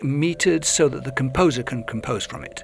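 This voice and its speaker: An English accent comes through at a moderate pace with lively intonation. There is noticeable background noise. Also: man. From England. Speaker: lyricist and poet. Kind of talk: interview conversation. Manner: halting, many restarts.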